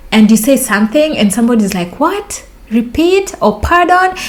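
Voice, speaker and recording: Amid noticeable background noise, a woman with a Kenyan accent speaks in an animated tone with very wide pitch swings. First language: Luo. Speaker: vlogger. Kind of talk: storytelling vlog.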